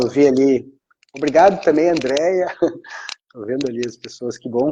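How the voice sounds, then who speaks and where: A man's fairly high voice at a moderate pace, dark and mellow in tone, with ordinary pitch variation and big swings in loudness. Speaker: law exam prep teacher. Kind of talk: live stream Q&A chat. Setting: live stream. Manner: casual, animated.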